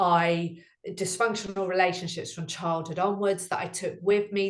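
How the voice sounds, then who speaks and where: A woman's medium-pitched voice in a British accent, at a moderate pace with ordinary pitch variation. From UK. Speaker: relationship coach. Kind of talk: interview.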